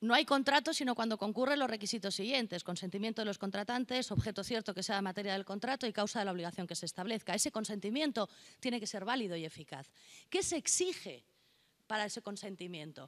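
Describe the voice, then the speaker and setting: On a very clean recording with a silent background, a woman speaks at a medium pitch and a very fast pace with lively intonation. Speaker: notary, conference speaker. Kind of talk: conference lecture. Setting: conference hall with interpreters.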